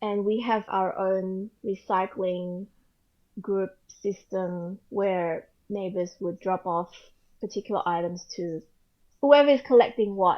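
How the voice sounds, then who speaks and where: A woman with an Australian accent speaks at a very slow pace. Her pitch is medium, with ordinary variation. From Australia (Sydney), earlier Indonesia. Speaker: photographer and author, mother. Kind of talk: casual interview.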